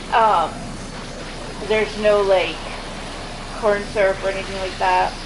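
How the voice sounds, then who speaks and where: A woman at medium pitch talks at a fairly slow pace in a monotone, flat intonation, with audible room echo and noticeable background noise. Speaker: gaming streamer. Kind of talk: casual chat. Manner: halting.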